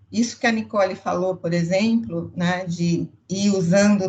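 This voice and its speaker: At a fairly slow pace, this somewhat breathy voice carries ordinary pitch variation. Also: woman. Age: 60s. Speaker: customer experience executive. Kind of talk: panel discussion.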